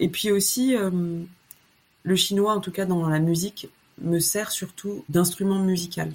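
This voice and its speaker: A woman speaks at a fairly slow pace with fairly even intonation, leaving long, frequent pauses. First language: Chinese, Lao and French (trilingual from birth) (speaking French). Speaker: musician. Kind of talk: casual interview. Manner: hesitant, many fillers.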